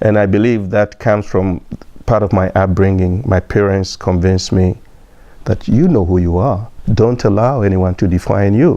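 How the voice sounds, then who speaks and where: This man has a fairly low pitch and a dark, mellow tone. His loudness stays very even, and his intonation is fairly even too. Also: moderate pace. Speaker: immigrant interviewee. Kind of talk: personal testimony.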